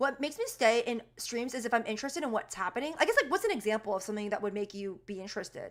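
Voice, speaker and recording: Against a silent background in a very clean recording, a woman talks at a very fast pace in a high pitch with lively intonation. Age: 20s. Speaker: streamer and indie game developer. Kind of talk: casual livestream chat. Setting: livestream. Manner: casual, filler-heavy.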